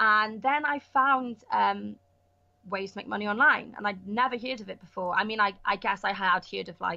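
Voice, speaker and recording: With a Welsh accent, a woman talks at a moderate pace and medium pitch, her bright, sharp tone showing ordinary pitch variation. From Wales, Pembrokeshire. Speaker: actress and online entrepreneur. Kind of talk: podcast interview. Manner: casual, many fillers.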